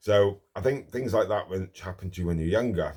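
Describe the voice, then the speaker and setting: Mumbling and somewhat breathy, a man with an English accent talks at a fairly quick pace in a very clean recording with a silent background. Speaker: martial arts instructor. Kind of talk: personal vlog monologue. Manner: halting, many filler ums.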